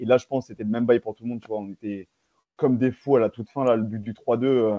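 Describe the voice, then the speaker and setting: A man with a medium-pitched voice rushes through his words at a very fast pace. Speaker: football fan show host. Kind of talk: casual live match debrief. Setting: live stream with chat. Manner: animated.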